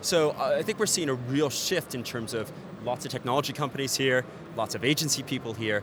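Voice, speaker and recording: A man with an American accent at a medium pitch, a fairly quick pace and ordinary pitch variation, amid noticeable background noise. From United States. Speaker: ad tech executive. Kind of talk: trade show interview. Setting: event TV studio.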